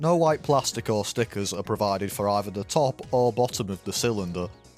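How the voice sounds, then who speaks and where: Music plays in the background as a man with a fairly low pitch talks at a fairly quick pace with lively intonation. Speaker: model kit hobbyist. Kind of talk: build review voiceover.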